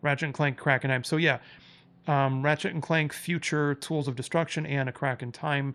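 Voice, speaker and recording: Fairly high-pitched man's voice, flat and monotone, on a very clean recording with a silent background. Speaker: gaming youtuber. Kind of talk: casual monologue. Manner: fast; casual, with fillers.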